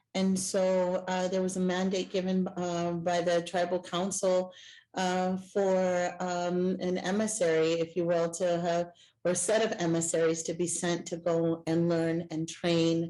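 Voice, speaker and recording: Against a quiet background, a woman speaks at a fairly low pitch with a dark, mellow tone, monotone, flat intonation and very even loudness. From El Salvador. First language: Spanish. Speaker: Native community nonprofit worker. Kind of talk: panel discussion.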